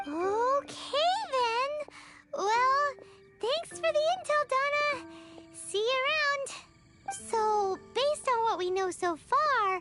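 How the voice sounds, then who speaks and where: Over loud background music, a squeaky, put-on character voice at an extremely high pitch speaks at a very slow pace with long, frequent pauses. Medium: video game. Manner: energetic, cheeky.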